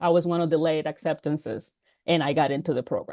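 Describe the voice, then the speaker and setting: A woman speaks with a dry, close sound and no echo. The background is quiet. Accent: Dominican. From Dominican Republic and Puerto Rico. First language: Spanish. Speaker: business founder. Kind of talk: interview.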